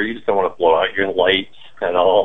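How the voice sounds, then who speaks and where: Speaking fairly quickly in a normal speaking voice, a man keeps his fairly low pitch and fairly even intonation. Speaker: cannabis grower. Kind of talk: interview.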